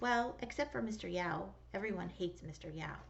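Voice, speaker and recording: A female-sounding voice does a put-on character voice at a fairly quick pace. Background noise is clearly heard. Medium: read story. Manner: warm, joking.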